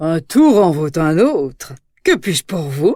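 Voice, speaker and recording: A put-on character voice at a middle pitch, delivered at a fairly slow pace. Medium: read story.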